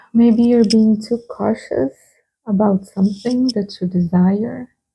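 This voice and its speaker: Somewhat breathy and dark and mellow in tone, a woman with a Brazilian Portuguese accent speaks in a fairly high pitch with ordinary pitch variation. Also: fairly slow pace. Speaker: tarot reader. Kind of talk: tarot reading. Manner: hesitant, with many fillers.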